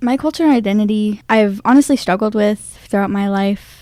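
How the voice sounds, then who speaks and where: Fairly quick delivery from a woman with a fairly high pitch and a dark, mellow tone. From Fort McDowell Yavapai Nation, central Arizona. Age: young. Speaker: college student and pageant titleholder. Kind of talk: radio interview.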